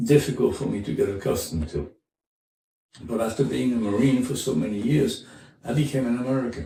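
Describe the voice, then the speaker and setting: Vocal fry runs through a dark, mellow tone at a fairly quick pace, broken by long, frequent pauses, with audible room echo. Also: man, medium pitch for a man. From France, French Riviera. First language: French. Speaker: former Marine, immigrant interviewee. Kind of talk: interview. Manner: halting.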